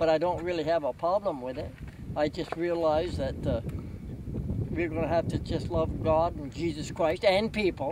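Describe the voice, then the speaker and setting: A man's high-pitched voice at a moderate pace, dry with no echo, over noticeable background noise. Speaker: folk artist, creator of a painted desert monument. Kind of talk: casual interview talk. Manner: earnest, warm. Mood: warm, earnest, gentle. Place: open country.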